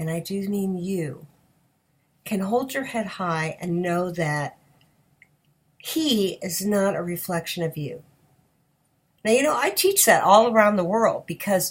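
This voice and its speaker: Speaking at a fairly slow pace with long, frequent pauses, a woman with a medium pitch and lively intonation sounds somewhat breathy on a very clean recording with a silent background. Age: 60s. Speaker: sex addiction recovery coach. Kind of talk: advice talk to camera. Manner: animated.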